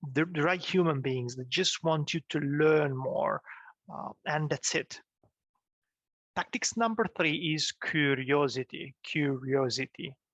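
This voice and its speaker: Speaking with a non-native accent, a man talks at a fairly slow pace and a fairly high pitch with ordinary pitch variation, in a dry, close sound with no echo. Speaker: business coach / YouTuber. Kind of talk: tutorial. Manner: halting, many fillers and restarts; casual, animated.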